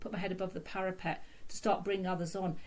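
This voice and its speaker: A woman with a British accent talks very fast at a medium pitch, her voice somewhat breathy. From UK, London. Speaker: consultant physiotherapist. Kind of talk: podcast interview. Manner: halting, many fillers and repeats.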